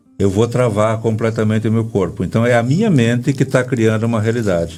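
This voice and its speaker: At a fairly quick pace, a man speaks at a medium pitch in a dark, mellow tone, with ordinary pitch variation and very even loudness. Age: 60s. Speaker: breathwork therapist. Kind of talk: interview. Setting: radio studio, filmed for live video.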